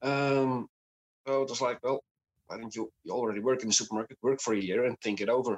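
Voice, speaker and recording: A man with a Dutch accent speaks at a very fast pace. His medium-pitched voice has a dry, close sound with no echo. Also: fairly even intonation. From Netherlands. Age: 30s. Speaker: podcast guest with chronic illness. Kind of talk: casual interview. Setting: video call.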